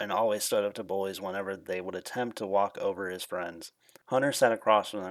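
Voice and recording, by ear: The text is read aloud in a natural voice.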